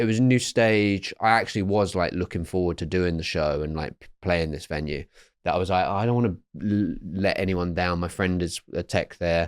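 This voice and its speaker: With an English accent, a man speaks at a moderate pace in a very deep, low pitch with ordinary variation. The sound is dry and close, with no echo. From England. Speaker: comedian. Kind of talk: casual chat. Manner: halting.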